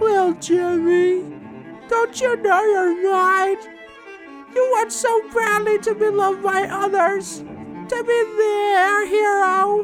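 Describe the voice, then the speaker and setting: A man's put-on character voice at an extremely high pitch, very slow, with clear music in the background. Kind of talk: dramatic horror monologue. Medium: audio drama. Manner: taunting, menacing, condescending.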